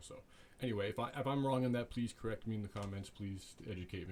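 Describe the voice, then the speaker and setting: A somewhat breathy man rushes along at a very fast pace with ordinary pitch variation. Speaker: YouTuber discussing social issues. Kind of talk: solo vlog monologue. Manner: halting, many fillers and restarts.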